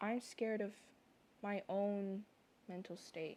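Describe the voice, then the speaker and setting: At a fairly slow pace, a woman talks in a dark, mellow tone with a medium pitch and flat, monotone intonation. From moved around a lot, not Canada. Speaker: content creator, artist. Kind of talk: personal vlog monologue. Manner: rambling, halting.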